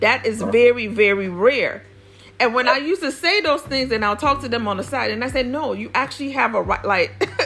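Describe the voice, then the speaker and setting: Over noticeable background noise, a woman with a Nigerian accent speaks at a fairly quick pace in a high pitch, her tone animated and her intonation lively. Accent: non-native Yoruba. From US, Nigerian-American family. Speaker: podcast host, former diplomat. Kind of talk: interview conversation. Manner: animated, with many fillers.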